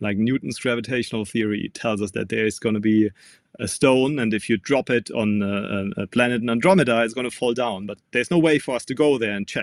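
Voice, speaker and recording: In a German accent, the speaker talks at a fairly quick pace with ordinary pitch variation in a dry, close sound with no echo. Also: man, medium pitch for a man, very clean recording, silent background. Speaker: physics professor. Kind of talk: interview. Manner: halting, frequent um and uh.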